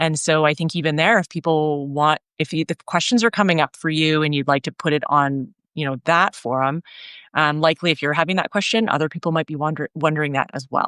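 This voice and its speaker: A woman with a Canadian accent speaks fairly quickly in a very deep, low voice. The sound is dry and close with no echo, on a very clean recording with a silent background. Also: ordinary pitch variation. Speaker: workshop facilitator. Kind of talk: casual chat.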